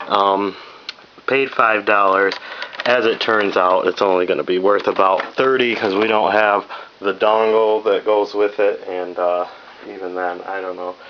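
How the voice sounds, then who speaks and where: A fairly low-pitched male voice, fairly slow and monotone, against noticeable background noise. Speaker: reseller vlogger. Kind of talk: casual haul video.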